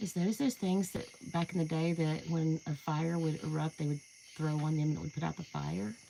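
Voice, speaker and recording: The speaker moves at a fairly quick pace in an Appalachian accent. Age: 60s. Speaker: paranormal livestreamer. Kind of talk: live stream walkaround. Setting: outdoors at night.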